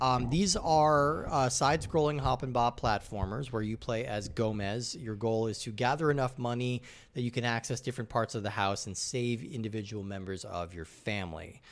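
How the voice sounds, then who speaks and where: With an American accent, a man speaks in a plain, everyday voice at medium pitch, with ordinary pitch variation at a moderate pace on a very clean recording with a silent background. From US Rocky Mountains. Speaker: podcast host. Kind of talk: casual chat.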